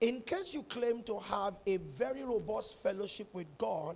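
A man speaks. His pace is very slow. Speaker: preacher. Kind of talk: sermon. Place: church. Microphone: handheld.

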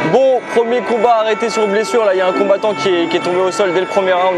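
A man at a fairly quick pace with ordinary pitch variation, clear music playing behind him. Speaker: travel vlogger. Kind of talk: casual vlog chat. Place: stadium. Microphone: lapel.

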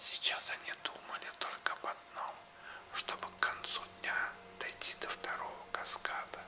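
Whispering at a very slow pace, the voice carries a soothing tone. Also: man. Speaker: audiobook narrator. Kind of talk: audiobook reading. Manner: whispered; slow, soothing. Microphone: studio mic.

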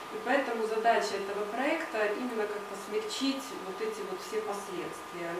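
In a room with audible echo and noticeable background noise, a woman speaks at a fairly slow pace with ordinary pitch variation. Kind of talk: presentation to an audience. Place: meeting room.

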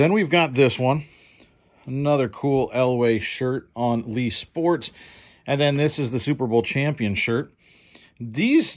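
Against a quiet background, a man speaks fairly slowly with ordinary pitch variation and long, frequent pauses. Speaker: thrift reseller. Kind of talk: casual haul vlog commentary. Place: home room. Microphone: phone near.

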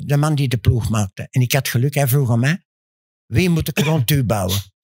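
A man with a medium pitch and a somewhat breathy voice speaks at a moderate pace with lively intonation and very even loudness, on a dry recording with no echo and a quiet background. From Antwerp, Belgium; Belgium. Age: 80s+. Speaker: former professional basketball player; guest. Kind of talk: interview answer. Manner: boastful, lively. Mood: confident, bragging storytelling. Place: studio. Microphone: studio mic.

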